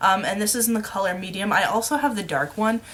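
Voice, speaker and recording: A woman mumbles at a moderate pace. Her pitch varies in an ordinary way. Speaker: beauty vlogger. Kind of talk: makeup tutorial. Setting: at home. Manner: mumbling; loud.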